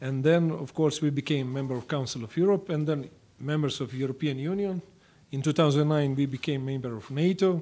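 A man with a Croatian accent speaks at a fairly quick pace in a fairly high pitch. His tone is dark and mellow, and his pitch varies in an ordinary way. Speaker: government foreign affairs official. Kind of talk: diplomatic speech. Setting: congressional meeting room. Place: meeting room. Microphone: podium.

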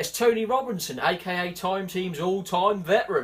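A man with a Norfolk accent speaks in a high voice with ordinary pitch variation. Noticeable background noise runs under him. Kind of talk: comedy sketch.

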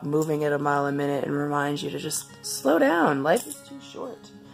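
Music in the background behind a woman at a moderate pace. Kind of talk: casual talk to camera.

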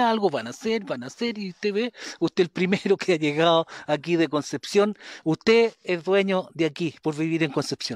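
Dry, echo-free sound from a man over a quiet background. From Chile, Maule region (San Javier, Panimávida); Maule, Chile. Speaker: local community activist; interviewee. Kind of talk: interview testimony. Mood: aggrieved, insistent. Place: street. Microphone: handheld.

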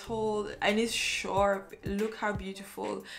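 Clear background music behind a woman speaking. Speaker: photographer reviewing a lens. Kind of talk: tutorial. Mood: enthusiastic. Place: home room.

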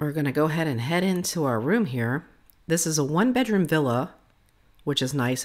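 Against a quiet background, a woman speaks in a very deep, low pitch. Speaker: vlogger giving a room tour. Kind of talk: casual vlog chat. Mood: cheerful, enthusiastic. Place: home room. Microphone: phone near.

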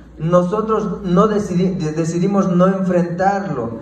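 Audible room echo surrounds a voice moving at a very slow pace. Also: man. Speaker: preacher giving testimony. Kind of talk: sermon. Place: church. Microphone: handheld.

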